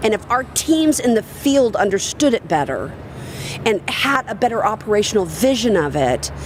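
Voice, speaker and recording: A woman with a Southern US accent talks in an animated tone, her pitch swinging very widely, while noticeable background noise runs underneath. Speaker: industry speaker and consultant. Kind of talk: live podcast interview. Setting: live recording at a conference.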